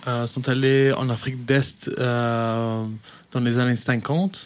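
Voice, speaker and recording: Over noticeable background noise, a man at medium pitch speaks with fairly even intonation. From Kenya (Belgian family). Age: 20s. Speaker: youth worker. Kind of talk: radio interview. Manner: hesitant, many fillers.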